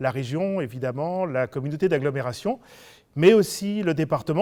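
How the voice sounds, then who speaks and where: At a moderate pace and with ordinary pitch variation, the voice comes through a very clean recording with a silent background. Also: man. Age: 60s. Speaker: local politician, substitute candidate. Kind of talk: campaign self-introduction. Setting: video meeting recorded without audience. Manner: hesitant, many fillers.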